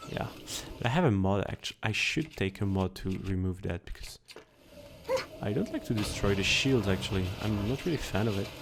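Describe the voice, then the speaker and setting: Over noticeable background noise, a man with a non-native accent talks at a fairly low pitch and a fairly quick pace, with ordinary pitch variation. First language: not English. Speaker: gaming youtuber. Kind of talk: gameplay commentary. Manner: halting.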